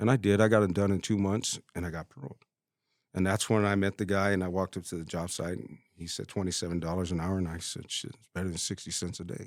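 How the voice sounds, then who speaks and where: Speaking at a very fast pace, a man with a very deep, low pitch keeps his intonation fairly even while his loudness swings widely. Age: 50s. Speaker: plumber. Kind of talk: casual interview chat.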